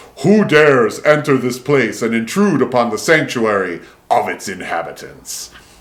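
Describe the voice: A man's booming, put-on character voice at medium pitch, moderate pace, with very wide pitch swings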